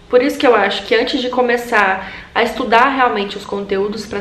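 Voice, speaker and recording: A woman at a very fast pace with fairly even intonation and noticeable background noise. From Brazil, Tocantins (Gurupi). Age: 20s. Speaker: medical student and video blogger. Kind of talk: casual advice vlog.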